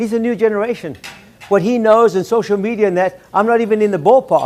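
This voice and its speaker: A man with a high-pitched voice talks in an animated tone at a fairly quick pace over noticeable background noise. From South Africa. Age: 70s. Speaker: keynote speaker, salon entrepreneur. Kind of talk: keynote speech. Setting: luncheon with audience.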